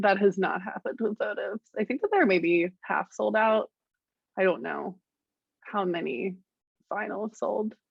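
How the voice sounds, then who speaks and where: Here a woman talks at a moderate pace. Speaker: musician. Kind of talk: interview. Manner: casual, hesitant.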